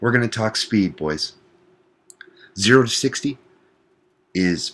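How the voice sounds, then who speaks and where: The voice is quiet and strained, with lively intonation. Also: man. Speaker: gaming commentator. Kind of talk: gameplay commentary. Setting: at work. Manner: quiet, restrained.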